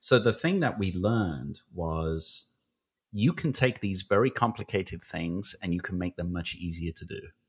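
In a British accent, a man with a fairly low, somewhat breathy voice speaks with lively intonation and big swings in loudness on a very clean recording with a silent background. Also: moderate pace. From Britain. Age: 40s.

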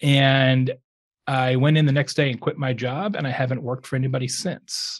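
In an American accent, a man with a medium pitch sounds somewhat breathy. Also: fairly even intonation, moderate pace. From Arizona, US. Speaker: author and entrepreneur. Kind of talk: casual chat.

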